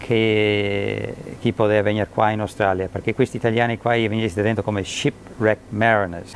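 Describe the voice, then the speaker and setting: A man with a fairly low pitch and monotone, flat intonation, at a moderate pace with light background noise. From Australia. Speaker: museum manager. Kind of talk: documentary interview answer. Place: hall. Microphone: lapel.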